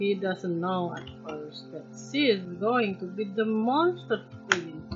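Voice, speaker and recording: Over music in the background, a woman with a non-native accent and medium pitch speaks very slowly with very wide pitch swings. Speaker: artist. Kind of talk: casual rambling while sketching. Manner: hesitant, rambling.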